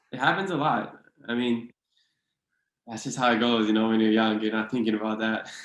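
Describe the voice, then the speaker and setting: Speaking at a fairly quick pace with a Hawaiian accent, this voice breaks often into long pauses amid audible room echo. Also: man, medium pitch for a man. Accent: Hawaii local English. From Hawaii (Hilo, Big Island). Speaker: author and podcast guest. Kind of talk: casual interview chat.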